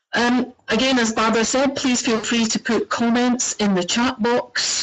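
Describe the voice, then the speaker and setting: There is noticeable noise in the background. Over it, a woman speaks in a Scottish accent. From Scotland. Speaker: organization director. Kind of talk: webinar introduction. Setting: online webinar. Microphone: poor microphone.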